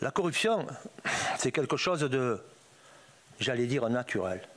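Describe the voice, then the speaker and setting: A man's very slow speech with lively intonation. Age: 80s+. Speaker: former drug trafficker testifying. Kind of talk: testimony before parliamentary inquiry. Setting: parliamentary hearing room. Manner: informal street speech, repetitive.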